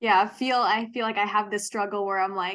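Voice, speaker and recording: Over a quiet background, a woman with an American accent uses a normal speaking voice at a moderate pace with ordinary pitch variation. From US Midwest, Wisconsin. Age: 20s. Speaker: podcast co-host. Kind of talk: casual chat.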